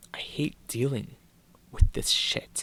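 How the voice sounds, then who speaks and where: Whispering at a very slow pace, a man speaks. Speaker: youtuber. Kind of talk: casual vlog. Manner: halting.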